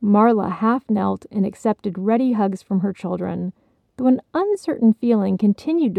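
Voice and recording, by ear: Over a quiet background, the text is read aloud in a natural voice, its pitch varying in an ordinary way.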